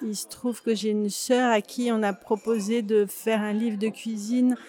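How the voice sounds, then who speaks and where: Her voice sits at a fairly high pitch, with a dark, mellow tone and monotone, flat intonation. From France, Grenoble. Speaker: actress and author. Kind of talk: interview. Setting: café.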